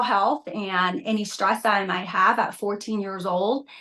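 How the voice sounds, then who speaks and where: On a very clean recording with a silent background, a woman with a Vietnamese accent speaks with fairly even intonation. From Vietnam, moved to US at 14. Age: 50s. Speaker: reality TV contestant and Pilates instructor. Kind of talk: interview.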